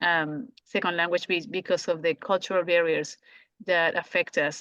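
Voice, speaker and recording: A woman with a strong Colombian accent at a medium pitch and a fairly slow pace, on a very clean recording with a silent background and a dry, close sound with no echo. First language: Spanish. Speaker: language teacher. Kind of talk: podcast conversation. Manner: halting, many restarts.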